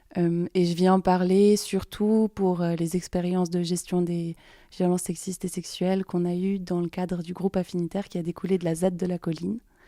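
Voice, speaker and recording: In a very clean recording with a silent background and a dry, close sound with no echo, a woman speaks at a moderate pace with a fairly low pitch, monotone, flat intonation and a dark, mellow tone. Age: 20s. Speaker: activist. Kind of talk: testimony. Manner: halting.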